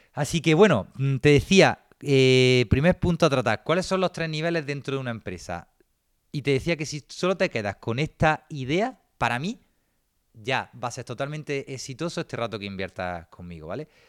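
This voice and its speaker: A fairly high-pitched man speaks at a moderate pace, with very wide pitch swings and big swings in loudness. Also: dry, close sound with no echo. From Granada, Andalusia, Spain. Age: 20s. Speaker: business consultant and entrepreneur. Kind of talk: online seminar lecture.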